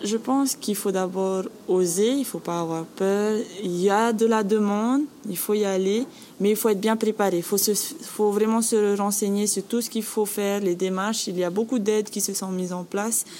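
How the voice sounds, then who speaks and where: Noticeable background noise sits behind a woman speaking at a medium pitch with fairly even intonation. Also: moderate pace. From French Polynesia, Bora Bora. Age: 20s. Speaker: guesthouse manager. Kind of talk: interview.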